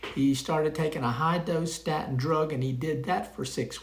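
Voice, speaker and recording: The room echoes audibly around a man speaking at a moderate pace. His voice sits fairly high. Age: 70s. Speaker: retired pharmacist, health vlogger. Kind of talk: casual monologue to camera. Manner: conversational, with frequent fillers.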